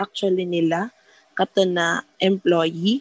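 In a Visayan Filipino accent, the speaker talks at a very slow pace with fairly even intonation and a dry, close sound with no echo. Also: woman. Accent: Filipino (Cebuano) English. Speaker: hiring manager. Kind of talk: casual chat.

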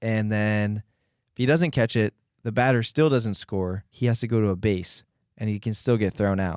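On a very clean recording with a silent background and a dry, close sound with no echo, a man with a plain, everyday voice speaks at a moderate pace, his fairly low pitch showing ordinary variation. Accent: American. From Philadelphia. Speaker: college student podcast co-host. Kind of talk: casual chat.

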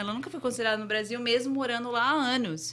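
A woman with a slight English accent and a bright, sharp tone, audible room echo around her. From Brazil, Santo André, São Paulo. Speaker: entrepreneur and franchise investor. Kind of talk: interview. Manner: halting.

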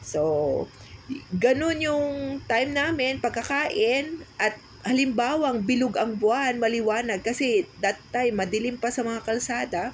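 A high-pitched woman's voice with lively intonation and a fairly slow pace. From Philippines, Cavite. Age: 40s. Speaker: podcast co-host. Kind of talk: casual chat.

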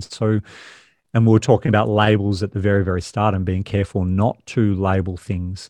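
A man's fairly low voice with an Australian accent, dry and close with no echo, over a quiet background. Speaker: podcast host. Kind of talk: casual interview.

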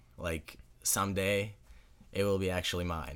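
In a Russian accent, a man speaks with a very deep, low pitch and fairly even intonation on a very clean recording with a silent background. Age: young. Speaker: high school hockey player. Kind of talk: casual interview.

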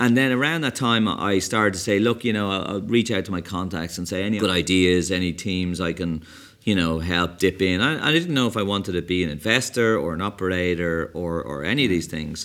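Very deep, low tones from a man with an Irish accent, fairly quick and with hardly any pauses, on a very clean recording with a silent background. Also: ordinary pitch variation. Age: 50s. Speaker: tech entrepreneur. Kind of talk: interview. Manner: energetic.

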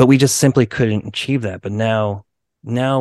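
The background is quiet as a man talks in a normal speaking voice at a moderate pace. His pitch sits fairly low and his intonation stays fairly even. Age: 40s. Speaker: punk band drummer. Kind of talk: casual interview chat.

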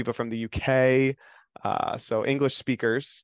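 A man delivers his words at a moderate pace in a monotone, flat intonation. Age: 30s. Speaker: diocesan youth ministry director. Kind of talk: interview. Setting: video call. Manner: halting.

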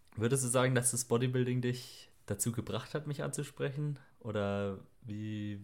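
A man with a plain, everyday voice and ordinary pitch variation is heard on a very clean recording with a silent background. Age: 20s. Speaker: podcast co-host, electronics technician and online fitness coach. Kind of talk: casual chat.

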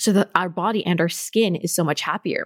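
A woman's medium-pitched voice, with ordinary pitch variation, moves at a fairly quick pace. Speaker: podcast host, holistic nutritionist. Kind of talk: casual chat, co-hosted podcast. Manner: fast talker.

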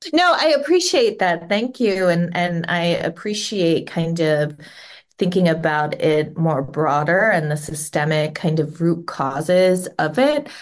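Speaking at a fairly slow pace in a Midwestern American accent, a woman uses a fairly low pitch with ordinary pitch variation. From US Midwest, Cincinnati, Ohio. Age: 40s. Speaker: parent. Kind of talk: interview.

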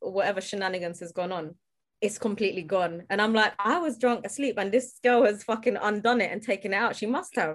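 A woman with a London accent at a medium pitch, very fast pace and ordinary pitch variation. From South London. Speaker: comedian and social media commentator. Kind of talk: casual chat.

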